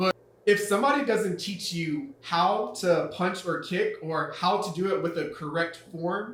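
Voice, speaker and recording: Amid noticeable background noise and audible room echo, the speech moves at a fairly slow pace. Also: man. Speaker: English teacher, channel host. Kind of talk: casual educational conversation. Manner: high-energy.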